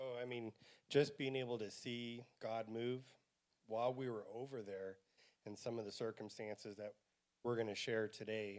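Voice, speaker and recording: Talking at a fairly slow pace, a man keeps a medium pitch and fairly even intonation. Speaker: church mission team member. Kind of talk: church presentation about mission trip. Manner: loud.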